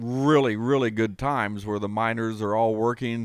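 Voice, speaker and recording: A man's unremarkable speaking voice with an American accent, medium in pitch, fairly slow and fairly even in intonation, on a very clean recording with a silent background. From Ohio, Kentucky family. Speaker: guest, former coal miner. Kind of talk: casual chat.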